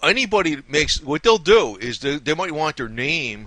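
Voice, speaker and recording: With a New Jersey accent, a man speaks at a fairly slow pace. His tone is bright and sharp. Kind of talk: casual conversational.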